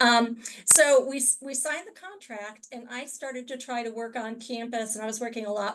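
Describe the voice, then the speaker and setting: A plain, everyday voice from a woman, fairly high in pitch, with fairly even intonation, at a moderate pace. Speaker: university librarian. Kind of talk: webinar presentation.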